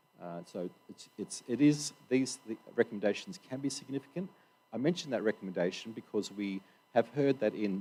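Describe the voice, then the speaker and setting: The voice is a man's, with a dark, mellow tone. He talks with lively intonation. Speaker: workshop organiser. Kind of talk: opening address at conference. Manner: halting, many fillers.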